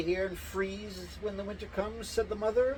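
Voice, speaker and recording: A man speaks at a moderate pace in a high pitch. Noticeable background noise runs behind him. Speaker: storyteller reading fairy tales aloud. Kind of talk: reading aloud. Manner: halting; mumbling.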